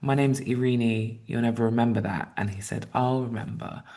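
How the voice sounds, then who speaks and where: The speaker talks at a moderate pace with a strong British accent. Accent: British accent, kept strong. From England, Southeast London. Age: 30s. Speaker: writer. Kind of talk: interview.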